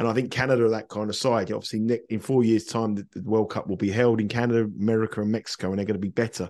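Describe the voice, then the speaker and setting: Monotone and flat, a man with a British accent and medium pitch speaks at a very fast pace. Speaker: football betting pundit. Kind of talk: casual chat. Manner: halting.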